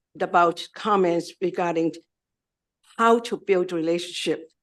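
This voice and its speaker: Fairly slow, lively-toned speech from a woman. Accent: non-native. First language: not English. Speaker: community organization director. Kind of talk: testimony. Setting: legislative committee hearing. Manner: halting.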